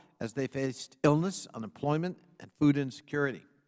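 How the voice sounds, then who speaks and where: A man with an American accent and a plain, everyday voice speaks at a fairly quick pace and a medium pitch. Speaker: congressional subcommittee chairman. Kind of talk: formal opening statement at a congressional hearing.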